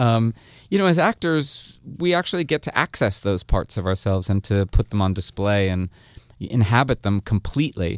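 An American accent in an ordinary speaking voice from a man at a medium pitch, moderate pace and lively intonation, in a very clean recording with a silent background and a dry, close sound with no echo. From northern New Jersey. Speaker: actor and playwright. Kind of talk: casual interview. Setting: studio.

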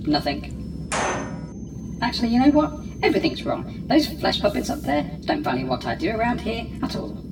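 A put-on character voice rumbles along at a moderate pace. Loud background noise runs underneath. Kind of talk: audio drama acting. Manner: grumbling, sarcastic, self-pitying.

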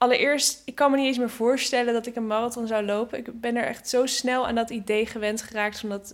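At a fairly quick pace, a woman talks in a normal speaking voice, her fairly high pitch held in fairly even intonation. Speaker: vlogger and runner, podcast host. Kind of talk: casual chat and interview. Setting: at a kitchen table at home.

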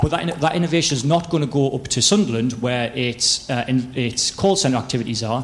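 A man with a medium-pitched voice and ordinary pitch variation is heard against noticeable background noise. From northeast England. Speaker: audience member, policy researcher.

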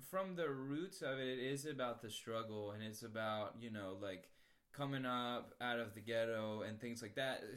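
In a room with audible echo, a man speaks at a moderate pace and medium pitch with ordinary pitch variation. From Virginia, US East Coast. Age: 20s. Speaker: musician. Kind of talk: casual chat.

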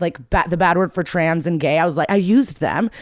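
The speaker is a woman. She speaks in a Midwestern American accent. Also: very clean recording, silent background. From US Midwest. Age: 30s. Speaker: comedian. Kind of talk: casual chat.

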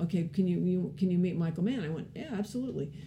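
A woman with an unremarkable speaking voice talks at a fairly quick pace, medium in pitch, with ordinary pitch variation. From California, French Canadian family. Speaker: film producer. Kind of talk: interview.

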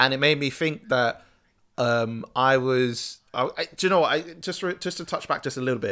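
In a British accent, the speaker has a bright, sharp tone and ordinary pitch variation on a very clean recording with a silent background. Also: man. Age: 30s. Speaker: podcast co-host. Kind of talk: casual chat.

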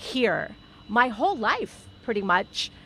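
Noticeable background noise sits behind the speaker. A woman talks at a fairly slow pace. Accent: American. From Los Angeles, San Fernando Valley (Pacoima). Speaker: state legislator. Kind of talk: radio interview; public remarks at community event.

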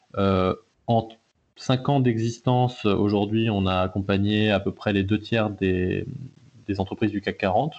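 With fairly even intonation, a man talks in a normal speaking voice. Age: 20s. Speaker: blockchain consultancy founder. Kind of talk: interview.

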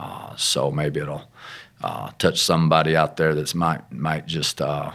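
In an Arkansas accent, a man with a very deep, low voice and vocal fry talks fairly slowly in a flat monotone. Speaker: missionary. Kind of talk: interview testimony.

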